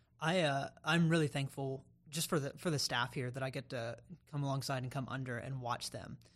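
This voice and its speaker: This man's pitch is fairly high, and he has an American accent. He speaks at a moderate pace. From North Carolina (Raleigh). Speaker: pastoral intern. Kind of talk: casual chat.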